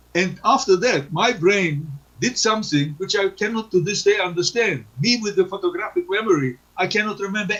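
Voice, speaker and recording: His voice is pitched high. The man keeps a moderate pace. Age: 80s+. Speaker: Holocaust survivor. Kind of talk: testimony. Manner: halting.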